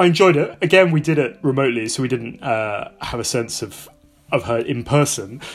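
Against noticeable background noise, a man talks at a fairly quick pace with lively intonation and a medium pitch. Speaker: podcast co-host. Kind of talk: interview chat.

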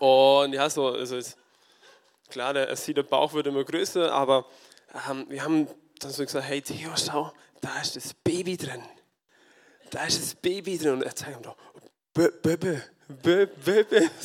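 A man with a fairly high pitch and ordinary pitch variation, at a fairly slow pace with long, frequent pauses. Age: 20s. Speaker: farmer and lay preacher. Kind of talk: sermon. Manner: halting.

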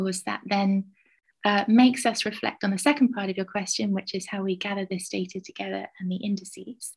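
A woman with a southern English accent speaks at a fairly quick pace, her medium-pitched voice somewhat breathy. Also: fairly even intonation. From southwest England, Somerset. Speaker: university lecturer and researcher. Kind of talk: interview.

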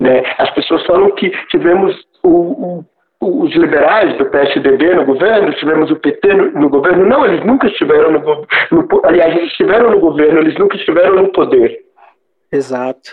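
A man with a high pitch talks with lively intonation at a moderate pace. His loudness stays very even. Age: 50s. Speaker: artist and art educator. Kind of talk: casual panel discussion.

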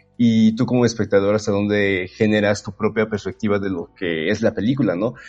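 With music in the background, a man keeps a fairly quick pace and fairly even intonation. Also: fairly low pitch for a man. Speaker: podcast co-host. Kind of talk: casual chat.

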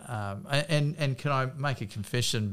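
A man with an Australian accent on a very clean recording with a silent background. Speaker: politician and podcast host. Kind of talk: casual interview chat.

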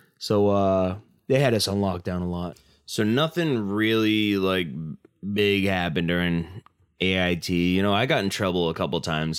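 A man speaks with a very deep, low pitch. The recording is very clean, with a silent background. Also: ordinary pitch variation, moderate pace. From Massachusetts. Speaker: army veteran, podcast host. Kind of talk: casual monologue.

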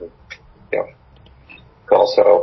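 A man talks at a fairly quick pace in an American accent. Noticeable background noise runs underneath. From England, Australia and California. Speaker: high school teacher. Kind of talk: interview.

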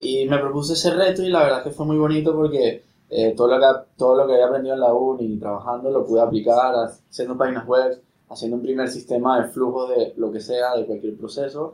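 A man's plain, everyday voice at medium pitch, fairly even in intonation and fairly quick in pace. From Venezuela. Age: 30s. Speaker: startup co-founder. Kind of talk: casual interview.

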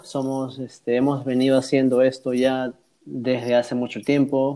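A man talks in a dark, mellow tone at a fairly slow pace. His pitch is medium. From South America. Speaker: podcast host and call center agent. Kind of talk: casual chat.

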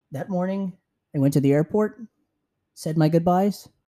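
In a Californian accent, a man speaks with a dark, mellow tone and dry, close sound with no echo. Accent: Californian American. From San Francisco, US. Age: 20s. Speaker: podcast host. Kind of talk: solo travel podcast monologue.

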